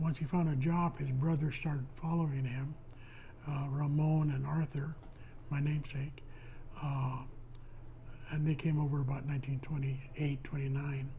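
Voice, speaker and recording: A man's fairly high, somewhat breathy voice with a dark, mellow tone, monotone, flat intonation and audible room echo. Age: 80s+. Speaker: retired postal worker. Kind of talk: oral history interview. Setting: at home.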